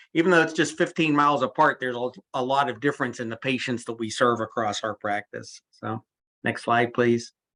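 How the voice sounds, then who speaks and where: This man has a medium pitch and a bright, sharp tone, with fairly even intonation. He speaks at a fairly quick pace against a quiet background. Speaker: physician presenter. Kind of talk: lecture. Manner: fast.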